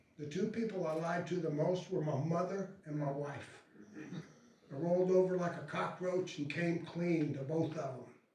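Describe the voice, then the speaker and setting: Noticeable background noise and audible room echo around a man's high-pitched voice, with an American accent and fairly even intonation. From Florida, Tampa. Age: 70s. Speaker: retired pro wrestler. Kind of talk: talk to an audience.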